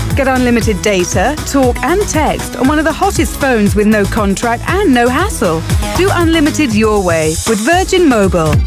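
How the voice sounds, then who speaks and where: Moderate pace with hardly any pauses, dry sound with no echo and clear music in the background. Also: woman. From United Kingdom. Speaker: voice actor. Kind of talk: TV commercial read. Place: booth.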